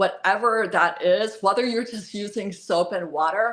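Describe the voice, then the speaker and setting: Over a quiet background, a woman with an American accent talks in a normal speaking voice, her pitch varying in an ordinary way. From US South, North Carolina. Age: 60s. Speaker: esthetician and spa owner. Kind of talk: live stream talk. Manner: casual, with filler words.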